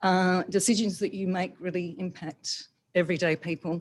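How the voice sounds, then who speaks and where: The speaker talks at a fairly slow pace in an Australian accent. The recording is very clean, with a silent background. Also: woman. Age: 60s. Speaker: yoga teacher. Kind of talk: public comment at council meeting.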